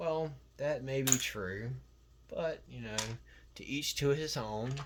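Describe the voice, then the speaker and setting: A man's medium-pitched voice with ordinary pitch variation, at a very slow pace, with audible room echo. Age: 30s. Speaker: LEGO hobbyist YouTuber. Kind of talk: casual monologue vlog. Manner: lots of fillers, hesitant.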